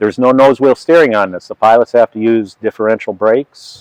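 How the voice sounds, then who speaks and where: An unremarkable speaking voice from a man, fairly quick, with fairly even intonation and a dry, close sound with no echo. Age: 60s. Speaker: flight engineer and aircraft mechanic. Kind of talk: casual interview and walkaround explanation.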